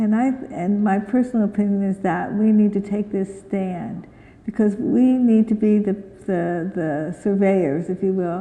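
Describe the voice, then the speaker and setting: With a dark, mellow tone, a woman speaks at a fairly slow pace in a medium pitch with ordinary pitch variation. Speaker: physician and conference speaker. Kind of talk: conference Q&A discussion. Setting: conference hall with audience.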